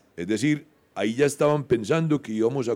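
A man with a dark, mellow tone and lively intonation is heard in a very clean recording with a silent background. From Colombia, Medellín. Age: 60s. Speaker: anthropology professor. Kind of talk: interview conversation. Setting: live session with audience at a botanical garden.

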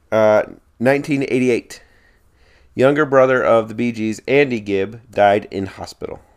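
In a normal speaking voice, a man with a medium pitch talks at a moderate pace with fairly even intonation. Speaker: podcast host. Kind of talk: casual chat.

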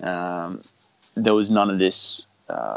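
A man speaks in an Australian accent with fairly even intonation. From Australia, Brisbane. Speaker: paintball player. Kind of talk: casual chat.

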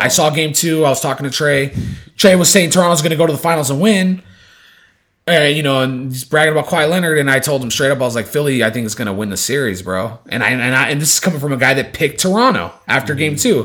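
Talking at a very fast pace, a man sounds animated, with a fairly high pitch and lively intonation. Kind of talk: casual chat. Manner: animated, casual.

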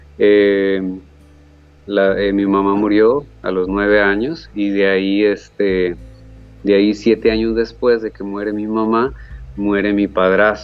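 A man's fairly low voice in a Costa Rican accent, very slow in pace with ordinary pitch variation, with music in the background. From Costa Rica, Guápiles area. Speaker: painter. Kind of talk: interview.

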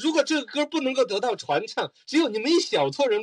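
A man with an extremely high pitch and very wide pitch swings talks at a fairly quick pace, the sound dry and close with no echo. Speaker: radio host. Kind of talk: casual chat.

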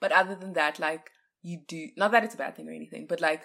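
Using vocal fry, a woman speaks at a very fast pace with lively intonation. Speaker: podcast co-host, university student. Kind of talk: casual chat.

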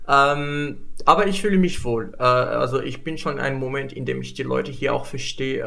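A man speaking at a fairly quick pace, with audible room echo. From Morocco. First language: Moroccan Arabic (speaking German). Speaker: international student. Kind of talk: casual chat. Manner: halting.

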